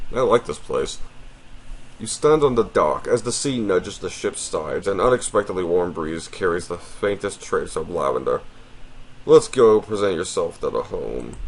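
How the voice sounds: The speaker moves at a moderate pace with lively intonation. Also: man, low pitch for a man.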